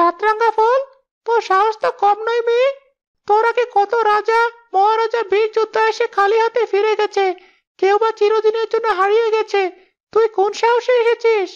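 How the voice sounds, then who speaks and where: A cartoonish character voice sits at an extremely high pitch. It moves at a moderate pace with monotone, flat intonation. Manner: brash, familiar.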